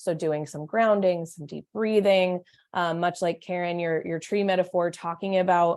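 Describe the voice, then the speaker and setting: Fairly low in pitch, a woman speaks in a monotone, flat intonation. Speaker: domestic violence therapist. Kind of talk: online meeting presentation. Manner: fast.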